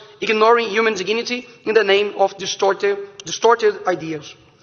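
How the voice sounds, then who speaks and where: There is noticeable background noise behind a man speaking. His high voice moves fairly quickly with fairly even intonation. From Brazil. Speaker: politician. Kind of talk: political speech. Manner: halting, repeats words.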